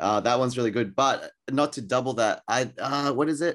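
With an Australian accent, a man speaks at medium pitch and a fairly quick pace. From Australia, Sydney. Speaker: artist. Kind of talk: interview. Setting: remote call from a bedroom. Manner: casual, many fillers.

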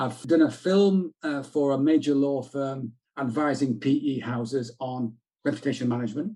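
Speaking in a Yorkshire accent, a man with a fairly high pitch and a dark, mellow tone talks at a moderate pace with ordinary pitch variation. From South Yorkshire, England. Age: 60s. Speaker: retired journalist and PR consultant. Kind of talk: interview conversation.

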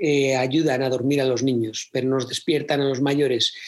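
A man speaks at a fairly slow pace in an unremarkable speaking voice, pitched fairly high. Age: 40s. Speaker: theatre producer and speaker. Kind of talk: interview conversation.

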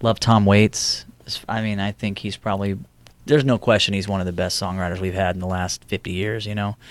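At a fairly quick pace, a man with a fairly low pitch talks in an American accent with a normal speaking voice. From Houston, Texas. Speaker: singer-songwriter. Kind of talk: casual interview.

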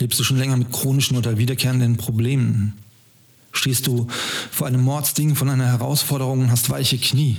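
A man speaks at a fairly quick pace at a medium pitch. His intonation is monotone and flat. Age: 50s. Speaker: podcast host. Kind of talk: scripted narration.

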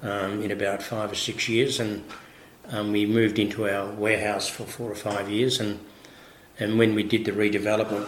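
Amid noticeable background noise and audible room echo, a man with an Australian accent speaks at a moderate pace in a fairly low pitch. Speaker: winemaker. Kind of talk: interview. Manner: halting.

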